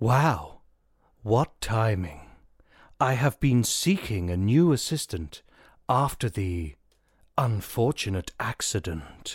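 On a very clean recording with a silent background, a man at medium pitch speaks at a fairly slow pace with very wide pitch swings and long, frequent pauses. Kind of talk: grand showman melodrama. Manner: grandiose, flirtatious, self-satisfied.

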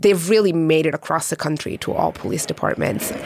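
A woman's fairly low voice at a very fast pace, amid noticeable background noise. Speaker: journalist. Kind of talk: interview.

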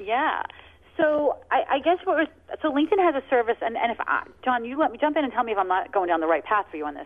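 A woman talks at a very fast pace in an energetic tone. Her high voice makes very wide pitch swings. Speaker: social media expert. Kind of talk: radio call-in show.

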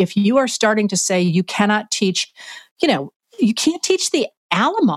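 In a normal speaking voice, the speaker moves at a moderate pace with lively intonation, the sound dry and close with no echo. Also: woman. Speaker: historian. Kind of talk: interview conversation.

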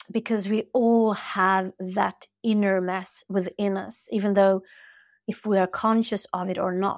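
The recording is very clean with a silent background. A woman speaks at medium pitch with fairly even intonation. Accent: Swedish. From Sweden. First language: Swedish. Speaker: spiritual teacher and coach. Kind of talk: interview conversation.

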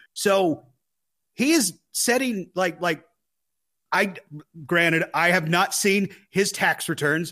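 A man with a high-pitched, raised and projected voice talks at a very slow pace with long, frequent pauses, ordinary pitch variation and very even loudness, in a very clean recording with a silent background. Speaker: sports podcast co-host. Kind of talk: casual sports chat.

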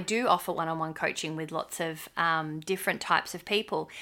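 A woman's fairly low voice in an Australian accent, bright, sharp in tone, at a moderate pace on a very clean recording with a silent background. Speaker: podcast co-host. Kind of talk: casual chat.

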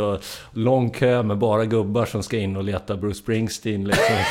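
This man talks at a moderate pace, with a fairly low pitch and ordinary pitch variation. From Sörmland, Sweden (Strängnäs). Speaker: musician in a band. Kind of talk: casual interview.

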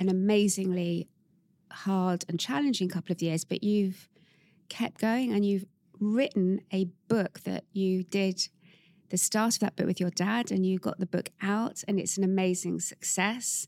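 A dark, mellow voice speaks at a fairly slow pace. The recording is very clean, dry and close, with no echo and a silent background. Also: woman, medium pitch for a woman. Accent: English. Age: 60s. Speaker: podcast host, brand executive. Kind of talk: interview conversation.

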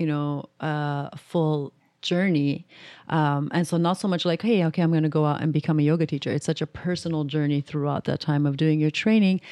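This woman has a very deep, low pitch and fairly even intonation at a moderate pace. The background is quiet. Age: 30s. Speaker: menstrual cycle educator and yoga instructor. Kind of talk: interview. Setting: studio.

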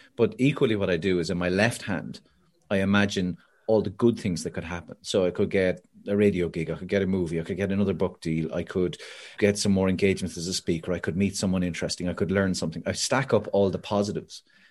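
This man has a very deep, low voice and an Irish accent. He speaks at a very fast pace. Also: quiet background. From Ireland. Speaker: motivational speaker and author. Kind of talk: casual interview. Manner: animated storyteller.

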